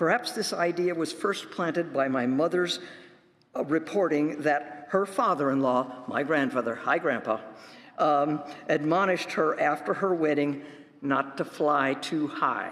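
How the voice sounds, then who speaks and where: Fairly slow speech with ordinary pitch variation and very even loudness, over noticeable background noise. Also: man, fairly high pitch for a man. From US Midwest, northwest Illinois farm area. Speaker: professor giving a talk. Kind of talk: sermon-style talk at a worship service.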